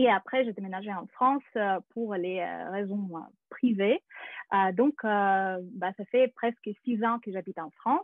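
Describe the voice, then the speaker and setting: With a Russian accent, a woman speaks fairly slowly at medium pitch, with ordinary pitch variation and big swings in loudness. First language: Russian (speaking French). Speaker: actress and acting teacher. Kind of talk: webinar presentation. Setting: video call. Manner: hesitant, many fillers.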